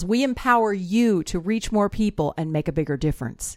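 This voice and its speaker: Recorded very cleanly with a silent background, a woman talks at a medium pitch with ordinary pitch variation. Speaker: podcast host. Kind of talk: interview.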